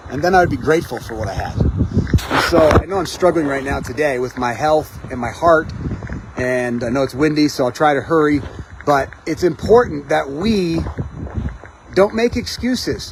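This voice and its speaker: Noticeable background noise around a male speaker at a moderate speed. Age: 40s. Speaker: hiking vlogger. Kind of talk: motivational talk to camera. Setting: outdoors on a mountain trail. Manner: halting.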